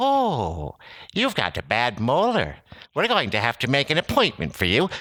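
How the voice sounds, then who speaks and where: A man in a put-on character voice with a fairly high pitch, at a moderate pace, in a very clean recording with a silent background. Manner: playful, cartoonish.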